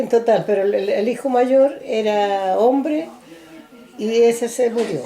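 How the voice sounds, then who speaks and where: At a very slow pace, a woman talks in a fairly high voice over noticeable background noise. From rural central Chile (San Clemente, Maule). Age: 80s+. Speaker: elderly interviewee recounting life story. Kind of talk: oral history interview. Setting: recorded interview on video camera.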